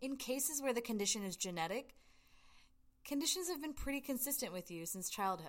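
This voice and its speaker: A woman with an American accent speaks using lively intonation. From US South, Georgia. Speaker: podcast host, acupuncturist. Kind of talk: educational monologue. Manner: animated.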